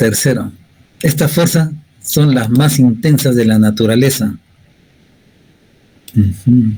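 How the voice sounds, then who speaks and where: A man's somewhat breathy, dark and mellow voice at a medium pitch, very slow, with long, frequent pauses, very even loudness and ordinary pitch variation. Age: 60s. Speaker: university physics lecturer. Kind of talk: lecture. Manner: conversational, frequent tag questions.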